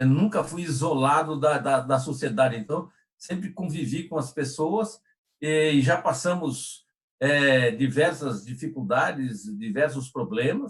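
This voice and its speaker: The voice is somewhat breathy. It moves at a fairly slow pace with ordinary pitch variation. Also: man, fairly high pitch for a man. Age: 60s. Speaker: personal development trainer. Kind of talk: live stream discussion. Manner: halting, many repetitions.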